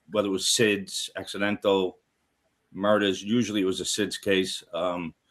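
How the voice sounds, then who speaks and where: A man speaks at a fairly low pitch and a moderate pace in a monotone, flat intonation on a very clean recording with a silent background. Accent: Brooklyn. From New York City, Brooklyn. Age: 60s. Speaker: retired homicide detective, paranormal TV investigator. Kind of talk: casual interview chat.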